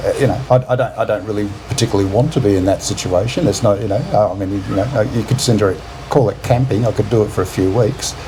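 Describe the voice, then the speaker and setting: Speaking very fast, a man with an Australian accent has a fairly low pitch. His pitch varies in an ordinary way, over noticeable background noise. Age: 50s. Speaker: retired expat. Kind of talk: casual chat. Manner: halting.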